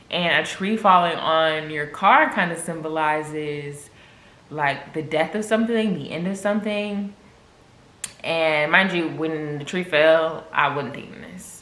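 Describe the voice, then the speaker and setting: A woman with a fairly low voice speaks fairly slowly in an animated tone, with ordinary pitch variation. The room echo is audible. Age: 20s. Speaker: vlogger. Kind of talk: casual chat.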